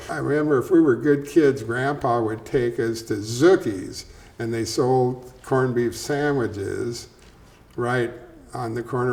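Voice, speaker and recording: A man with an ordinary speaking voice and an American accent, medium in pitch, with fairly even intonation at a fairly slow pace. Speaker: welding business co-owner and local storyteller. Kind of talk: oral history interview. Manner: conversational, storytelling, colloquial.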